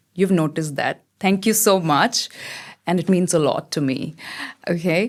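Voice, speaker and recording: A woman with an Indian accent talks at a moderate pace. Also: fairly low pitch for a woman, ordinary pitch variation. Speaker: model and theatre actor. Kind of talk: podcast interview.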